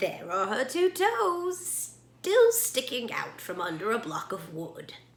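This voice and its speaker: In a put-on character voice, a woman speaks fairly slowly at a fairly high pitch with very wide pitch swings. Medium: read story. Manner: calm, gracious.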